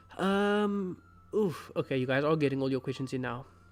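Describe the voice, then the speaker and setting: A man's voice sits fairly high, with ordinary pitch variation. Music can be heard behind him. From South Africa, Cape Town. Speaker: fantasy book video creator. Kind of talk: live stream Q&A. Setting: live stream.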